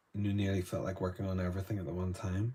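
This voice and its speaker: In a Northern Irish accent, a man speaks with a very deep, low pitch and monotone, flat intonation. His tone is dark and mellow, and somewhat breathy. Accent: Northern Irish, softer North Down. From Northern Ireland, Newtownards, North Down. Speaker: artist. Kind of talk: live painting demonstration. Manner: casual, chatty.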